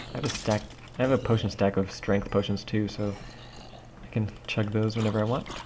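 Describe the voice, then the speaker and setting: A man mumbles at a fairly quick pace, with long, frequent pauses. His pitch is fairly low and his intonation is monotone and flat. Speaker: gaming video creator and map maker. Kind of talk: gameplay commentary. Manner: mumbling; casual, filler-heavy.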